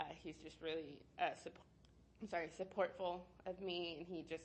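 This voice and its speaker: Speaking at a moderate pace, a woman with an American accent has a fairly low pitch. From Texas, Dallas. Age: 20s. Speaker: aspiring teacher. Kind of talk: interview. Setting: recorded interview. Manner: hesitant, many fillers.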